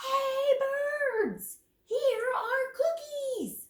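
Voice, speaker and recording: A put-on character voice shouts loudly at an extremely high pitch. The sound is squeaky. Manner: loud shouting.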